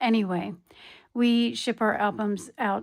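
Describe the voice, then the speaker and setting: A woman with an American accent speaks at a fairly slow pace in a relaxed tone, her intonation fairly even. The recording is very clean, with a silent background. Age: 60s. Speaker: crafting YouTuber. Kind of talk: casual video show-and-tell. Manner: relaxed, hesitant with many ums.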